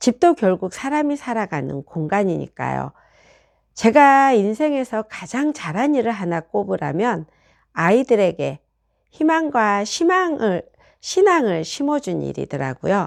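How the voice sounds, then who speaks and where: A woman speaks at a fairly high pitch with very wide pitch swings. Her pace is fairly slow, and the background is quiet. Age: 60s. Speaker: real estate agent. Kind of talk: personal testimony monologue.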